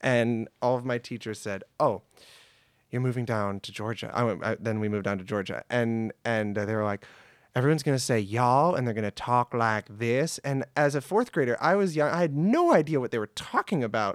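A man with a medium pitch and an animated tone speaks at a fairly quick pace with ordinary pitch variation, in a very clean recording with a silent background and a dry, close sound with no echo. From US, born in New York, raised in Michigan. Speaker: improv performer and actor. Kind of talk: casual interview chat. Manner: animated, jokey.

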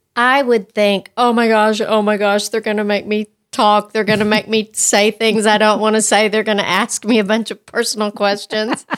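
A woman with an American accent speaks at a fairly high pitch in a flat monotone, with hardly any pauses, on a very clean recording with a silent background. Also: moderate pace. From West Texas. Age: 60s. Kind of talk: casual interview chat.

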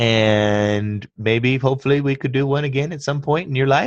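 A man speaks in an ordinary speaking voice at a moderate pace. His pitch variation is ordinary, and the background is quiet. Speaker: podcast host. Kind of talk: casual chat. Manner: joking, playful.

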